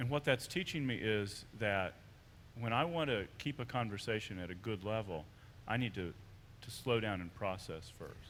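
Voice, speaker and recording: A man's fairly low pitch and an ordinary speaking voice at a moderate pace. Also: lively intonation. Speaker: college professor. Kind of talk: panel discussion. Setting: chapel service.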